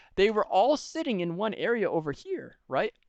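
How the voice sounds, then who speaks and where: A man's voice against a quiet background. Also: dry, close sound with no echo. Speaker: esports coach reviewing match footage. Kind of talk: educational video review. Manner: fast; animated.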